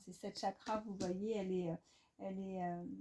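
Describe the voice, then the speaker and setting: This woman's voice has a dark, mellow tone. It comes across as somewhat breathy. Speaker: tarot card reader. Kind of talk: tarot reading. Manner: halting, many fillers.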